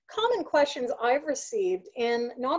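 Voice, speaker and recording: With no sound behind her, a woman speaks neither fast nor slow. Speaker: remote work coach presenter. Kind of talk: presentation webinar talk. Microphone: webcam.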